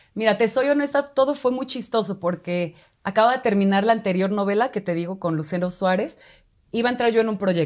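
The woman talks at a fairly quick pace, her pitch varying in an ordinary way, with a quiet background behind her. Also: medium pitch for a woman. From Mexico, Oaxaca city. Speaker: actress. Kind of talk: casual interview chat. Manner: halting, many fillers. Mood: cheerful, animated. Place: studio. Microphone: lapel.

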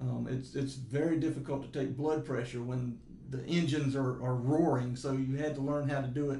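Audible room echo surrounds a man speaking at a moderate pace in a dark, mellow, somewhat breathy voice. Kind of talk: interview answer. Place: meeting room.

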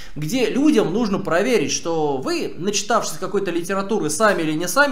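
A man with a high pitch speaks at a fairly quick pace. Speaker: streamer. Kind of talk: stream commentary answering chat. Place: home room.

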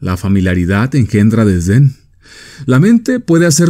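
This man speaks at a moderate pace with a dark, mellow tone. His pitch swings very widely. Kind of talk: vintage radio motivational talk, persuasive address to the listener. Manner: earnest, authoritative, measured; persuasive, direct, rhetorical questions.

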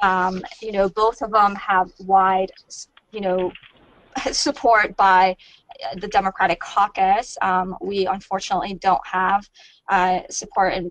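Fairly slow speech over a quiet background, with a dry sound and no echo. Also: woman. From Iran, raised in US. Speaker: policy lobbyist. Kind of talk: webinar presentation. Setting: webcast. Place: office. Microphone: earbuds.

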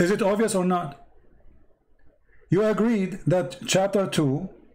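In a room with audible echo, a man speaks with a high pitch and ordinary pitch variation. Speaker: religious debater. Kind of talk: heated debate. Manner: animated.

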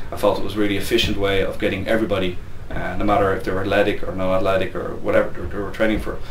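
A man talking at a very fast pace, with audible room echo and light background noise. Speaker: gym head coach. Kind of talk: interview answer. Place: office.

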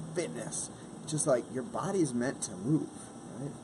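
A man talks over noticeable background noise. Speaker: fitness vlogger. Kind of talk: casual vlog chat. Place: garden. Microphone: phone near.

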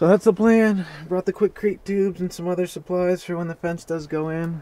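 In a dry sound with no echo, a man talks at a fairly quick pace in a high voice. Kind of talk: casual vlog chat. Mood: mildly annoyed, relaxed. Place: open country. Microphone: camera far.

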